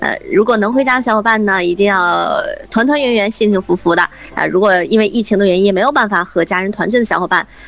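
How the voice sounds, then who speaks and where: Speaking very fast, a woman has a medium pitch and ordinary pitch variation. Noticeable background noise is present. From Hebei, Shijiazhuang. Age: 30s. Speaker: radio host. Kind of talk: interview.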